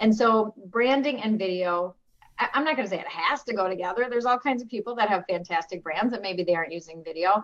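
A woman speaks at a fairly high pitch with lively intonation. Her pace is very fast. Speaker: mortgage branding consultant. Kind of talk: casual panel chat. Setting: video call.

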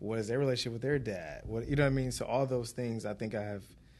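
A man at medium pitch with fairly even intonation. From Detroit, Michigan. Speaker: restaurant manager and entrepreneur. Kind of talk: casual interview chat. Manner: halting, many fillers.

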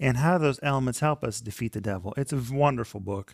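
The clip has an ordinary speaking voice at a fairly quick pace, with a dry, close sound with no echo in a very clean recording with a silent background. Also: man. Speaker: Bible study co-host. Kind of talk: devotional teaching discussion. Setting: studio.

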